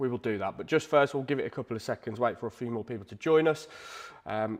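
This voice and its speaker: At a very fast pace, a man with an English accent speaks with ordinary pitch variation. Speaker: live draw host, guitar shop owner. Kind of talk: livestream commentary. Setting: livestream on camera. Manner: less energetic than usual.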